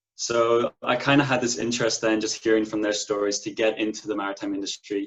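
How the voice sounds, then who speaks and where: In a Donegal accent, a man talks at a very fast pace with medium pitch and monotone, flat intonation. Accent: Irish (Donegal, Ulster). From Ireland, County Donegal. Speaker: merchant navy officer graduate. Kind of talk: interview.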